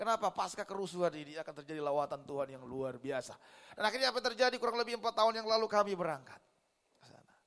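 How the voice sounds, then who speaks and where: A man speaks very fast in an animated tone at a high pitch. His voice makes very wide pitch swings and big swings in loudness. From Indonesia, Manado (North Sulawesi). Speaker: pastor. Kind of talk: sermon.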